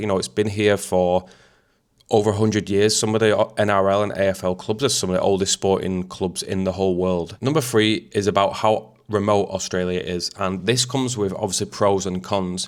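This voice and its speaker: A man with a Mancunian accent talks at a fairly quick pace and fairly low pitch. His intonation is fairly even on a very clean recording with a silent background. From Manchester, England. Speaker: YouTuber, expat vlogger. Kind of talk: casual talk to camera.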